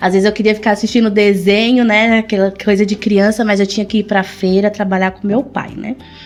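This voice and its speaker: A woman's medium-pitched, monotone, flat voice over noticeable background noise. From São Paulo, Brazil (born in Pernambuco). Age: 30s. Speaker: shoe business owner. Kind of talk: interview.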